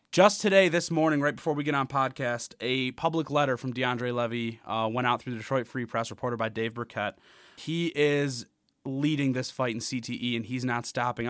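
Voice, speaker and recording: A man talks at a fairly quick pace in a medium pitch. It is a plain, everyday voice with ordinary pitch variation. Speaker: college sports podcast host. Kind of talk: casual chat. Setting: studio.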